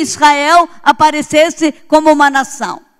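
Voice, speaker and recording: The woman speaking has a high pitch. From Brazil. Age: 70s. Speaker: pastor. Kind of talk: sermon.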